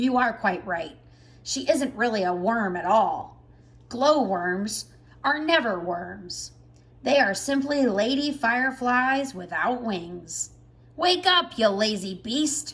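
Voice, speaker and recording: A woman performs a put-on character voice. Her pitch sits fairly high. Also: fairly slow pace. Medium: read story. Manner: gruff, bossy.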